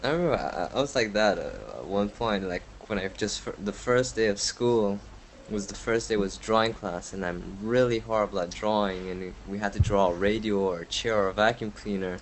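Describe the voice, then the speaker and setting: A man talks at a moderate pace. His fairly low voice is an unremarkable speaking voice. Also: fairly even intonation. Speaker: podcast host. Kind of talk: casual interview.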